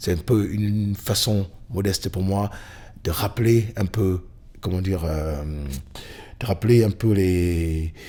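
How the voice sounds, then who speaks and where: A man talks at a very slow pace with long, frequent pauses, in a fairly low pitch and fairly even intonation. His tone is dark and mellow, and the recording is very clean with a silent background. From Cameroon. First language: Bamileke (speaking French). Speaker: blues musician. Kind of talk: interview. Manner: halting, many fillers.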